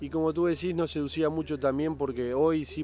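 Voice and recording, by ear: A man speaks with a dark, mellow tone and fairly even intonation. His pace is fairly quick.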